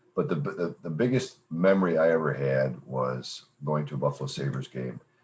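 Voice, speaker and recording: Ordinary pitch variation shapes speech delivered at a moderate pace. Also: man, very deep, low pitch for a man. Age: 60s. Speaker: club member speaker. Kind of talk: impromptu speech.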